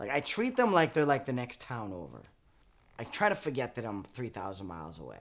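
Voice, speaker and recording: With a slight Boston accent and vocal fry, a man talks at a fairly quick pace in a medium pitch. His pitch swings very widely and his loudness shifts a lot. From Boston area, Massachusetts. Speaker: actor and comedian, audience warm-up man. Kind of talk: interview.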